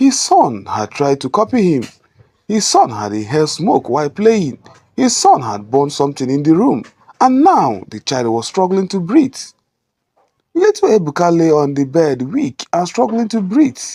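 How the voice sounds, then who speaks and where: A man's high, dark, mellow voice in a Nigerian accent, at a moderate pace with very wide pitch swings. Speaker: storyteller. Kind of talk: emotional moral story narration.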